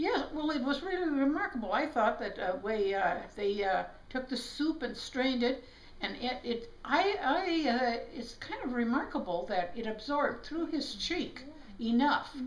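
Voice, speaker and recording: With an American accent, a woman speaks at a high pitch and a fairly slow pace. Her pitch swings very widely, and the room echo is audible. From South Dakota, USA. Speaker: chiropractor. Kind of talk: interview answer. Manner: hesitant, many fillers. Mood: reflective storytelling. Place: home room. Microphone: camera far.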